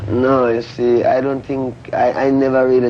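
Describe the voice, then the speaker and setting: With a Jamaican accent, a man talks at a moderate pace and medium pitch amid noticeable background noise. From rural Jamaica, Saint Ann. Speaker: reggae musician. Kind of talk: TV interview answer.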